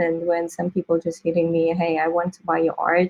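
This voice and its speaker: A woman with a non-native accent is heard in a dry, close sound with no echo. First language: not English. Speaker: crypto artist. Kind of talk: interview.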